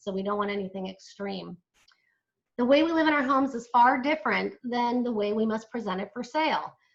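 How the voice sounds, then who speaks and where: There's a woman with an unremarkable speaking voice and a fairly high pitch. She moves at a fairly quick pace with ordinary pitch variation. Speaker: senior move manager and business owner. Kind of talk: webinar presentation. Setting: live online webinar streamed to Facebook.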